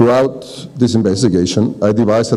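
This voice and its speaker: A man talks at a very fast pace with a Spanish accent. Noticeable background noise is present. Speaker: architect and landscape designer. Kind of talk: reading aloud a prepared talk. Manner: formal.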